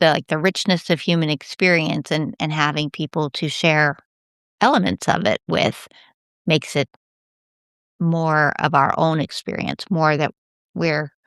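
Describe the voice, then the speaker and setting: Against a quiet background, a woman with a very deep, low voice talks at a fairly slow pace with long, frequent pauses, her sound dry and close with no echo. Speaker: podcast host. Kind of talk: podcast interview. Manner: abrupt cadence.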